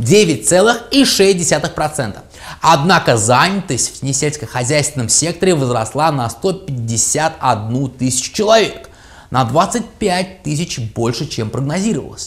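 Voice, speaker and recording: A man's pitch swings very widely as he keeps to a moderate speed. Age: 30s. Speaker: English tutor and translator. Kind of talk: financial market news commentary. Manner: ironic. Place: studio. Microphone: lapel.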